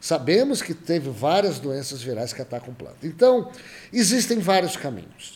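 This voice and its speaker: Here a man speaks at a high pitch for a man. His pitch swings very widely. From Brazil, São Paulo state interior (Jaboticabal). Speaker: virologist professor. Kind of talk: interview.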